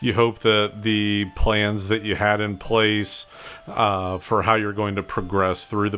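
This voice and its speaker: Music plays in the background while a man talks at a fairly slow pace. His pitch is fairly low and his intonation fairly even. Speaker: painter, art video host. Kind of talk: narrated painting tutorial. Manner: monotone.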